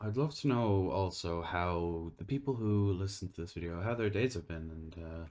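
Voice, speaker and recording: An Irish-accented man with a very deep, low pitch, at a moderate pace. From Ireland. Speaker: gaming YouTuber. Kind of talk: casual chat. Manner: halting; soft-spoken.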